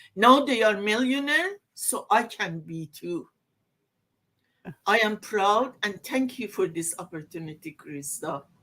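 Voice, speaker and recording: Speaking at a fairly slow pace, a woman uses a medium pitch with very wide pitch swings. Her tone is bright and sharp, and her loudness swings a lot. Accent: non-native. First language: not English. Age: old. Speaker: online business owner. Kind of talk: casual chat.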